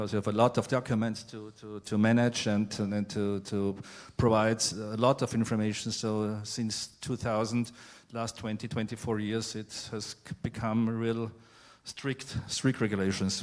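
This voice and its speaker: Speaking with a non-native accent, the voice holds a moderate pace with monotone, flat intonation. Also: man, fairly low pitch for a man. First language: not English. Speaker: family office representative, panelist. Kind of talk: panel discussion. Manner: halting, searching for words.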